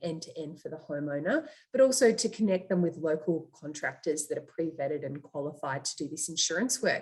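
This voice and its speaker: A woman with an Australian accent, fairly low-pitched and fairly quick, with lively intonation. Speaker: startup founder and CEO. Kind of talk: interview.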